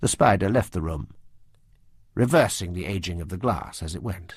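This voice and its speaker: On a very clean recording with a silent background, a man speaks at a moderate pace in a somewhat breathy voice with lively intonation. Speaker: audiobook narrator. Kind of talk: audiobook narration.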